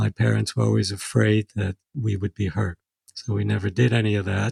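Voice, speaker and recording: A man with an American accent speaks fairly quickly in a fairly low, somewhat breathy voice. His intonation is fairly even, and the sound is dry and close with no echo. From New York City. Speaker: second-generation Holocaust survivor. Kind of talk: interview. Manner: halting.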